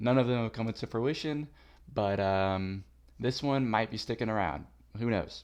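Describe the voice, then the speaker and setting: A man at a moderate pace with ordinary pitch variation, over a quiet background. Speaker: sports podcast host. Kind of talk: casual solo sports show with trivia. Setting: solo recording on camera with headset. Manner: loud; casual, rambling with fillers.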